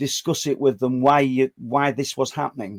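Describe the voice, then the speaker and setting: Recorded dry and close with no echo, a man speaks at a moderate pace in a fairly high pitch. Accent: northern English. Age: 60s. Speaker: podcast host. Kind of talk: interview. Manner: halting, stammering.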